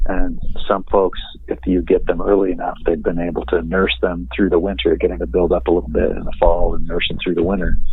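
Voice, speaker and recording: Clear background noise sits behind a man who talks fairly fast. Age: 60s. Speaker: beekeeper. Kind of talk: casual chat. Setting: phone call.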